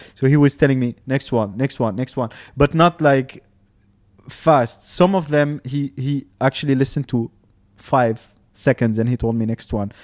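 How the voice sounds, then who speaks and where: A man talks at a moderate pace and medium pitch with ordinary pitch variation. The sound is dry and close with no echo, with music in the background. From Tunisia. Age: 30s. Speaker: architect, DJ and music producer. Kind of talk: casual chat.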